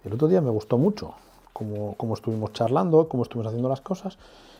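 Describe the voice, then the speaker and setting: A soft-spoken man talks with lively intonation at a medium pitch. His tone is dark and mellow, and somewhat breathy. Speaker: artist. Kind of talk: tutorial.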